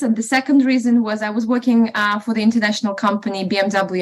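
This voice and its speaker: In a Russian accent, a woman speaks with a fairly high pitch, fairly even intonation and a somewhat breathy quality. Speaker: estate agent and property investor. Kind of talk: interview podcast. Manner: hesitant, many fillers.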